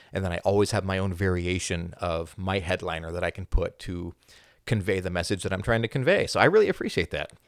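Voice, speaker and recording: At a very fast pace, a man with a very deep, low pitch speaks in fairly even intonation, recorded very cleanly with a silent background and a dry, close sound with no echo. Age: 30s. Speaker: spiritual content creator. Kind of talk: podcast interview.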